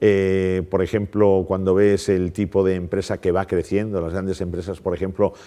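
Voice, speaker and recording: A man talks at a moderate pace with a very deep, low pitch. The background is quiet. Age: 60s. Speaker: economics professor. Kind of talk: interview.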